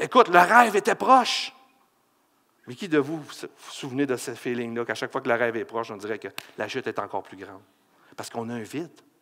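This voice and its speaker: With a Quebec accent, a man speaks very fast in an animated tone, his loudness swinging widely and his speech broken by long, frequent pauses. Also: medium pitch for a man, lively intonation. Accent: Québécois French. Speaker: pastor. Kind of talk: sermon.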